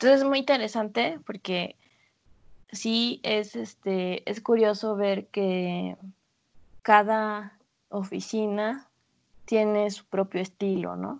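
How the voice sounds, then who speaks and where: Her pace very slow and her pauses long and frequent, a woman speaks with fairly even intonation and big swings in loudness. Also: medium pitch for a woman. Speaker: lighting designer, podcast co-host. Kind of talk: casual chat.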